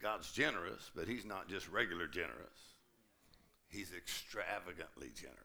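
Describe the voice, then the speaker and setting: With a Southern US accent, a man speaks at a moderate pace in a very deep, low pitch, his bright, sharp tone carrying vocal fry and lively intonation. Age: 70s. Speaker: pastor. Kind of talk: sermon. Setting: church. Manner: animated.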